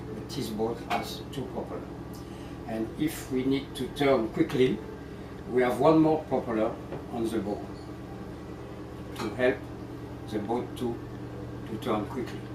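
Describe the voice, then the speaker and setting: A man with a French accent at a medium pitch, fairly slow with ordinary pitch variation and long, frequent pauses, amid audible room echo and noticeable background noise. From France. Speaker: ship captain. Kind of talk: guided tour explanation. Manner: halting.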